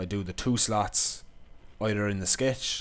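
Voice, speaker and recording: A man speaks in an Irish accent with a fairly low pitch. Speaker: engineering lecturer. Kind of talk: software tutorial.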